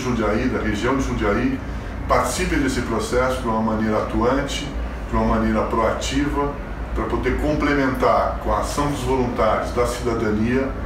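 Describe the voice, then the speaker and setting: Noticeable background noise and audible room echo accompany this man as he speaks. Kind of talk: recorded video greeting. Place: home room.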